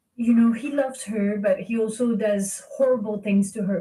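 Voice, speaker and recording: A woman with a French accent speaks with fairly even intonation at a fairly high pitch, her voice somewhat breathy and dark and mellow in tone. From France. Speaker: philosopher. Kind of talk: interview.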